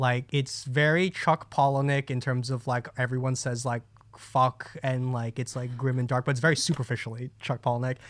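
A man with an American accent speaks at a medium pitch and moderate pace. His intonation is monotone and flat, with hardly any pauses. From New Jersey. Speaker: podcast co-host. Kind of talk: casual chat.

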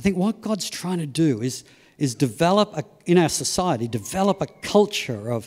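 Very wide pitch swings in an Australian accent. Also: man. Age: 60s. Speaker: preacher. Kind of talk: sermon. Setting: church service.

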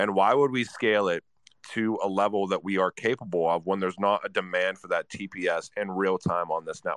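A man with a plain, everyday voice speaks at a fairly quick pace and a fairly low pitch, with fairly even intonation. The background is quiet and the sound is dry and close with no echo. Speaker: guest.

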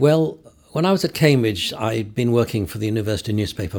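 A somewhat breathy voice at a fairly quick pace. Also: man. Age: 70s. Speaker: photographer. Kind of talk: interview. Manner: halting.

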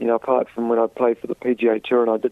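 A man talks with a New Zealand accent. His pace is fairly quick. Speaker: professional golfer. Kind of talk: interview. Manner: halting.

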